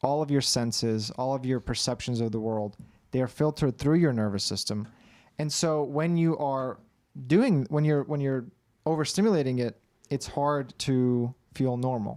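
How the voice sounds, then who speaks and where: A man speaks at a moderate pace in a medium pitch with a dark, mellow tone and ordinary pitch variation, on a very clean recording with a silent background. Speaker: anxiety coach. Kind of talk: livestream Q&A.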